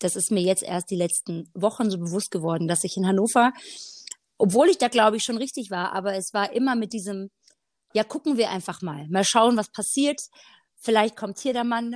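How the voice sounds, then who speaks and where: A woman with a plain, everyday voice speaks at a medium pitch and a moderate pace with ordinary pitch variation. The recording is very clean with a silent background and a dry, close sound with no echo. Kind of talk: casual faith conversation.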